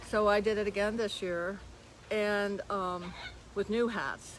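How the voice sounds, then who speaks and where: A woman is speaking. Room echo is audible. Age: 80s+. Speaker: parrot sanctuary owner. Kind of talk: casual chat. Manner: halting.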